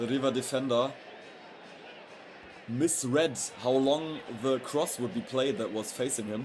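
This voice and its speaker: The speech moves at a moderate pace. Noticeable background noise runs underneath it. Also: man. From Europe. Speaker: football streamer. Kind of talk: live match commentary. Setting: livestream. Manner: lowered volume, not shouting goals; halting, with fillers and restarts.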